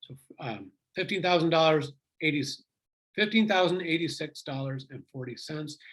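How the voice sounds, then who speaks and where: A somewhat breathy man at a fairly slow pace. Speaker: economics instructor. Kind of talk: lecture.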